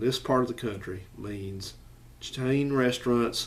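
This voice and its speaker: A man speaks at a fairly slow pace, his medium pitch showing ordinary variation. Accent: strong Southern US. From US South, Alabama (Madison/Huntsville area). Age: 40s. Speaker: YouTuber. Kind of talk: casual commentary vlog.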